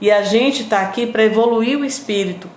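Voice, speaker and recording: Against noticeable background noise, a woman talks at a fairly quick pace in a fairly high pitch. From Northeast Brazil, Piauí. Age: 50s. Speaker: radio host and online presenter. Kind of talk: live stream chat with viewers. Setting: live video stream.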